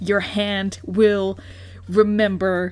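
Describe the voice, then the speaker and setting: A woman with a non-native accent, music in the background. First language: not English. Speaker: fan artist, art youtuber. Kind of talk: casual unscripted art commentary. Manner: halting, many fillers and restarts.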